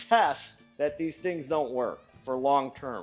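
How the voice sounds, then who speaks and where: A man speaks with music playing in the background. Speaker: small engine mechanic. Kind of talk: casual talk to camera.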